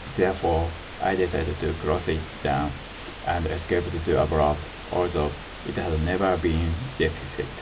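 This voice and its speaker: Over noticeable background noise and audible room echo, a man speaks in a very deep, low, monotone, flat voice. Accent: Japanese. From Japan. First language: Japanese. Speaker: self-described harassment victim. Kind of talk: presentation. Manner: halting.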